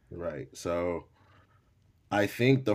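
In a very clean recording with a silent background, a man speaks at a fairly slow pace. His is a normal speaking voice with ordinary pitch variation. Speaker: rapper, battle rapper and DJ. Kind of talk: casual interview chat.

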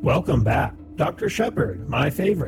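Clear music plays in the background while a put-on character voice speaks at a fairly slow pace. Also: man. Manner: cheery, sweet.

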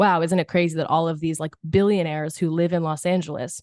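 A woman talks at a very fast pace in an American accent. Her pitch is fairly low, and the background is quiet. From Philadelphia, US. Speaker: actress. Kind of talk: casual interview. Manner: animated.

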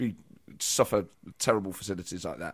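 Vocal fry runs through this man's voice. He speaks fairly quickly. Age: 40s. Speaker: comedian and political podcast host. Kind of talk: casual chat.

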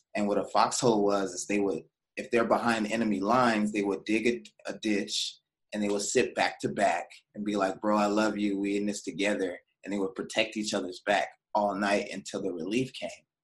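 Here is a man with an ordinary speaking voice, fairly low in pitch. He keeps a fairly quick pace and fairly even intonation. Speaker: podcast host. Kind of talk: casual interview chat.

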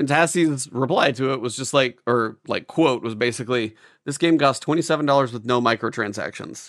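A man speaks at a fairly quick pace in a plain, everyday voice, medium in pitch with ordinary pitch variation, against a quiet background. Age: 40s. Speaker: gaming podcast co-host. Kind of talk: casual chat.

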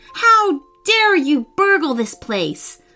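Over music in the background, a put-on, squeaky, female-sounding character voice bellows at an extremely high pitch with very wide pitch swings. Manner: angry, roaring.

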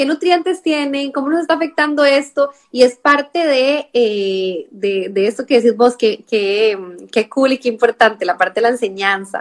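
Her voice sits high, with very wide pitch swings and a Costa Rican accent. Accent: Costa Rican, noticeable on the R sounds. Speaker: nutritionist. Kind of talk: live-stream interview. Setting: online live stream.

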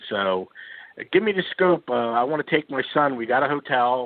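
With a Philadelphia accent, a man speaks at a fairly slow pace. His intonation is lively. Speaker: caller. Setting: phone call.

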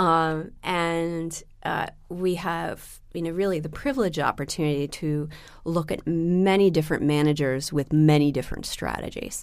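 A woman with an American accent talks at a moderate pace and fairly low pitch. Her intonation stays fairly even. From US Pacific Northwest, Seattle. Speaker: private equity fundraising executive. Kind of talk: interview. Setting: studio in London. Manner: hesitant with many fillers.

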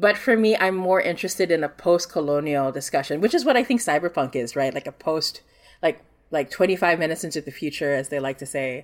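A woman speaks with an American accent at a fairly quick pace. Her pitch is fairly low, and her intonation is lively. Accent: sounds American to Filipino listeners. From Singapore. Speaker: game designer. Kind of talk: casual interview. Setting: video call.

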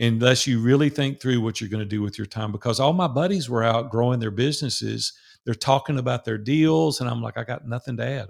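Ordinary pitch variation from a man, on a very clean recording against a silent background. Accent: strong Southern US. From US South, Nashville, Tennessee. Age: 60s. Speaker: business owner who sold his company. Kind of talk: interview.

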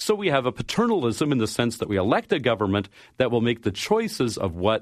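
A man with a normal speaking voice and a Canadian accent, ordinary pitch variation and a fairly quick pace over a quiet background. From Canada. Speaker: science fiction writer. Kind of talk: interview.

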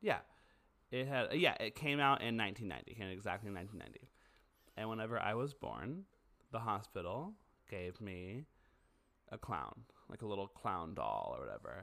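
A man's fairly low voice with vocal fry, a bright, sharp tone, lively intonation, a fairly quick pace and long, frequent pauses. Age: 30s. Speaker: podcast co-host. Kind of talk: casual chat.

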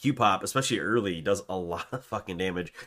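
An animated man speaks with a very deep, low pitch, a bright, sharp tone and ordinary pitch variation. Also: very clean recording, silent background. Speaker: podcast co-host. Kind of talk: casual chat about game patch notes. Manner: casual, profane, animated.

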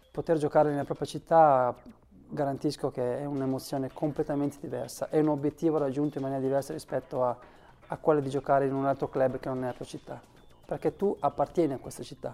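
Dark and mellow in tone, the voice runs at a very fast pace with monotone, flat intonation. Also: man, fairly high pitch for a man. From Varese, northern Italy. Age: 40s. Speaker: former footballer. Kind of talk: interview testimony. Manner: halting, repeats words.

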